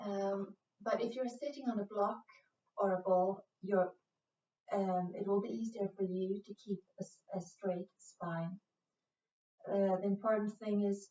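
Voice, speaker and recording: With a Swedish accent, a woman speaks at a fairly slow pace and medium pitch. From Sweden. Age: 40s. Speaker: yoga instructor. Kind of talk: guided yoga class. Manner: slow, calm; hesitant, many fillers.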